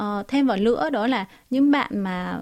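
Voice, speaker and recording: A woman with a fairly high pitch and ordinary pitch variation is captured in a very clean recording with a silent background. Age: 20s. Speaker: TikTok cooking creator. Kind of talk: radio interview. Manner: halting, frequent fillers.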